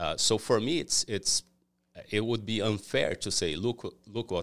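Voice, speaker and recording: A man with a Portuguese accent at a fairly slow pace, in a very clean recording with a silent background. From Brazil. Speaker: cleaning company owner. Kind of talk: interview. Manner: halting.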